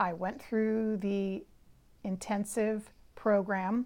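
On a very clean recording with a silent background, a woman with a Californian accent speaks at a very slow pace in a medium pitch with fairly even intonation. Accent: Californian American. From San Francisco Bay Area, California. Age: 50s. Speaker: psychic and spiritual teacher. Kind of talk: solo podcast monologue, personal story.

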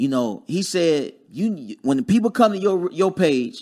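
On a very clean recording with a silent background, the speaker uses an American accent at a moderate pace with very wide pitch swings. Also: man. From Dayton, Ohio (US Midwest). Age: 30s. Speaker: real estate investor. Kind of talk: casual chat.

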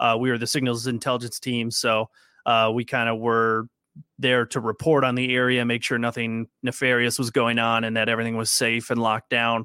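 Speaking at a fairly quick pace, a man with an American accent has a medium pitch and monotone, flat intonation. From Minnesota. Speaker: Marine veteran and fantasy football podcaster. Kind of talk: casual chat.

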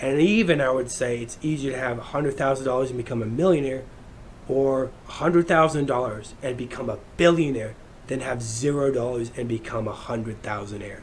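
With audible room echo, a man speaks at a medium pitch and a moderate pace, using ordinary pitch variation. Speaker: podcast host. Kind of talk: solo monologue.

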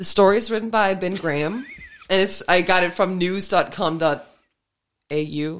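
A woman with a Danish accent speaks at a moderate pace, her medium pitch showing ordinary variation. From Denmark. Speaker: podcast host. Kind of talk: casual chat.

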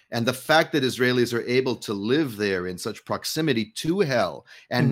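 A man speaks with an American accent at a medium pitch, using lively intonation and a normal speaking voice. The recording is very clean, with a silent background. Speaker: co-host. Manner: joking, sarcastic.

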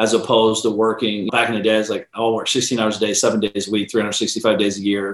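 Speaking at a fairly quick pace, a man with an American accent has an unremarkable speaking voice at a medium pitch. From Ohio, near Columbus. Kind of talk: interview.

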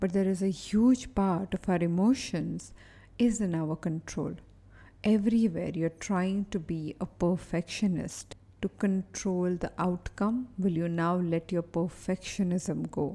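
Over a very clean recording with a silent background, the voice comes at a fairly slow pace in a calm, soothing, dark and mellow tone with fairly even intonation. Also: woman, medium pitch for a woman. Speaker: behavioral analyst and performance coach. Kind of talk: guided meditation. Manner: slow, calm, soothing, with long pauses; gentle, repetitive, hypnotic cadence.

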